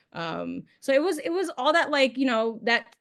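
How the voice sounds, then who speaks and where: At a moderate pace, a woman speaks with a New York accent. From New York City. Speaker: podcast guest. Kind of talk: casual chat.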